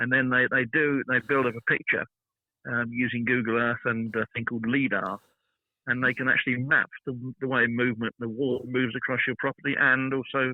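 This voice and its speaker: A man in a British accent speaks at a fairly quick pace and medium pitch. His intonation is monotone and flat. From Britain. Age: 70s. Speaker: garden designer. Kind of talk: interview. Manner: halting.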